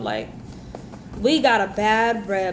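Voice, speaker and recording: Audible room echo and noticeable background noise surround a woman speaking at a fairly high pitch with ordinary pitch variation. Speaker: tarot reader. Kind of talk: tarot reading monologue. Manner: animated.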